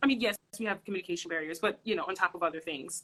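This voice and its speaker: Loud and bright, a woman's sharp tone carries ordinary pitch variation. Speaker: social worker. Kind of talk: casual chat. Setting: livestream video.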